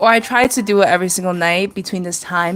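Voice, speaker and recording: This is a woman's voice. It sits at a medium pitch. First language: Chinese. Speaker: artist streamer. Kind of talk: casual livestream chat while drawing. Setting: live stream.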